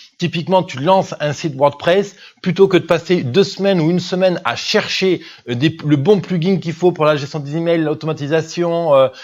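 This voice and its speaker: This man's voice is high-pitched. The intonation is fairly even. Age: 20s. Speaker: business coach and podcast host. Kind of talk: monologue podcast review. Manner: fast; hesitant, many fillers.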